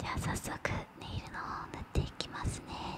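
Soft-spoken and at a fairly quick pace, a woman talks over loud background noise in a dry sound with no echo. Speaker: ASMR creator. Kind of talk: soft ASMR roleplay talk. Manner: soft, close-mic ASMR murmur. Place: home room. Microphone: studio mic.

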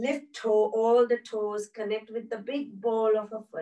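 A woman's fairly high voice, calm and soothing in tone, against a quiet background. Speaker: yoga instructor. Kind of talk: guided chair yoga class with breathing cues. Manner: calm, slow, soothing, cue-by-cue instruction. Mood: calm, soothing. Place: home room. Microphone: camera far.

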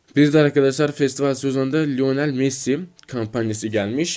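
The speaker is a man. His tone is animated. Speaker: mobile gaming YouTuber. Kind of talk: gaming news video, partly reading announcements aloud. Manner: animated, hesitant fillers.

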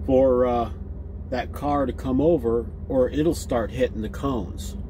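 Noticeable background noise is present while the man speaks at a fairly slow pace. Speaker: truck driver vlogger. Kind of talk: casual vlog chat. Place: car. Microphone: phone near.

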